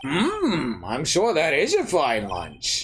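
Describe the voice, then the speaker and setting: Someone speaks in a put-on character voice at a very slow pace. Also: man, fairly high pitch for a man. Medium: game stream. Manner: slow, hesitant.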